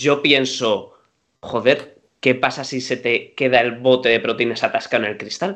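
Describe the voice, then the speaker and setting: This man has an unremarkable speaking voice, medium in pitch, with ordinary pitch variation and a fairly slow pace. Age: 30s. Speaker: podcast co-host. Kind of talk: casual chat.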